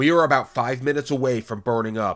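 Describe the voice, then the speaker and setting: Using a put-on character voice at a medium pitch, a man speaks at a very fast pace in a very clean recording with a silent background. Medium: read story. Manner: calm, bitter.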